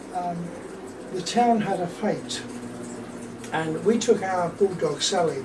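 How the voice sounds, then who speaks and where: The speaker has a southern English accent and ordinary pitch variation. Background noise and room echo are both audible. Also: man. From southern England (Luton, then London). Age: 70s. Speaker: war veteran. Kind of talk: oral history interview.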